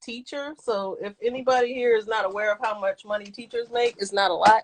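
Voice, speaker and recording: A woman with an American accent talks at a fairly quick pace with hardly any pauses, in a normal speaking voice pitched fairly high. The sound is dry and close, with no echo. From Pittsburgh, Pennsylvania. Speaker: sneaker collector, former teacher. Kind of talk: casual chat.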